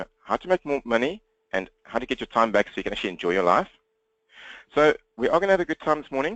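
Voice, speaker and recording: A man with a South African accent and fairly high pitch, very wide pitch swings, big swings in loudness, vocal fry, a very fast pace and long, frequent pauses. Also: dry, close sound with no echo. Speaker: business coach. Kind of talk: webinar presentation. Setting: webinar, talking to computer.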